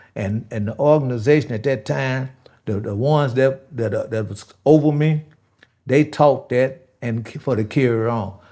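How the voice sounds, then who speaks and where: The voice has a dark, mellow tone and an American accent. The recording is very clean, with a silent background. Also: man, medium pitch for a man, ordinary pitch variation, moderate pace. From Chicago West Side, from age 6 (born Mississippi). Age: 70s. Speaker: former gang leader. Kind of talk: interview. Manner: halting.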